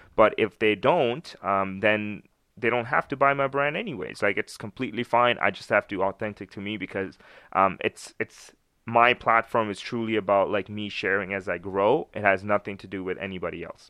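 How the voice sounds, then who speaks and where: In a Canadian accent, a man speaks at a moderate pace with a fairly low pitch and ordinary pitch variation. It is a plain, everyday voice, with big swings in loudness. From Canada, Winnipeg. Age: 20s. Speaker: entrepreneur with a clothing brand. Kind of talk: casual chat.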